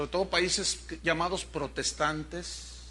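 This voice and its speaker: A man with a Mexican accent at a very slow pace. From Mexico. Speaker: pastor. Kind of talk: sermon. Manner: animated.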